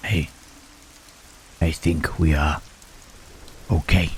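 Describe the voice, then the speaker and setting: Quiet whispering from a man in a put-on character voice. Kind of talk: audio roleplay. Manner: whispered, hushed.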